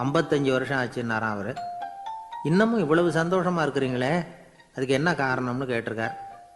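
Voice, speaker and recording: A man's medium-pitched voice with ordinary pitch variation, music in the background. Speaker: radio host and orator. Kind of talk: radio anecdote storytelling. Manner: simple colloquial, conversational.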